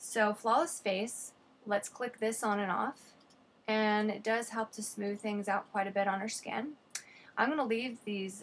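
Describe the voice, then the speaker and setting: This woman has a normal speaking voice, fairly high in pitch, with fairly even intonation and a fairly slow pace. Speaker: photographer and photo editing tutor. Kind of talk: tutorial.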